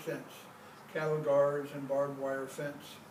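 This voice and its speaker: A man talks at a moderate pace. Noticeable background noise and audible room echo come through. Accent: American. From US Pacific Northwest. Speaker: poet. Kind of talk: poetry reading.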